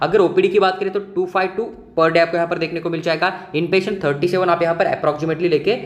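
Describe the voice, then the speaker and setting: Noticeable background noise fills the clip. Over it, a man with a high pitch speaks in a monotone, flat way. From Maharashtra, India. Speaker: medical admissions counselor. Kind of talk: informational video explainer.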